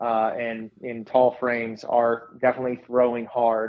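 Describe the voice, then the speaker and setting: A man with an unremarkable speaking voice, medium pitch and a fairly slow pace. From Southern California. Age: 40s. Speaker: sports performance coach. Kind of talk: casual interview.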